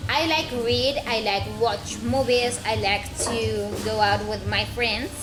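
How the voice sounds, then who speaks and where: Over music in the background and audible room echo, a woman speaks at a very slow pace. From Colombia, Caribbean region (Cesar, Sucre). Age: 20s. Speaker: university student of languages. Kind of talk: self-introduction monologue. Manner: halting, many hesitations.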